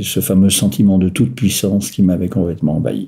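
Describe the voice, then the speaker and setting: Noticeable background noise sits behind this recording. A man speaks with a very deep, low pitch. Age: 60s. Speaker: person living with bipolar disorder, retiree. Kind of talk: personal testimony. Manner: hesitant, many filler sounds.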